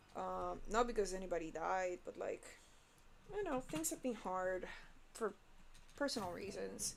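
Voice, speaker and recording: A woman with a non-native accent, moderate pace and long, frequent pauses. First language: not English. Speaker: animator streaming work. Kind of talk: casual live stream chat. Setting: live stream while working. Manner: casual, halting with fillers.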